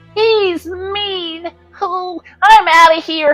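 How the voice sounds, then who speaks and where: A cartoonish character voice speaks at a very slow pace. Faint music plays in the background. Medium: puppet. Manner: nervous, complaining.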